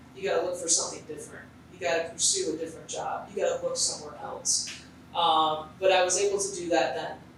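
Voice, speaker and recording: Noticeable background noise sits behind a woman's voice. Her pitch is medium and her intonation fairly even. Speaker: TV play-by-play sports announcer. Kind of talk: luncheon interview answer.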